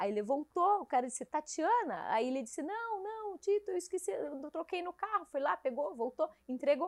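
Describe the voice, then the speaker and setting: A woman with a high-pitched voice talks at a moderate pace with hardly any pauses and very wide pitch swings, recorded dry and close with no echo. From southern Brazil, Caçador (Santa Catarina). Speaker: police chief. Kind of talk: casual interview.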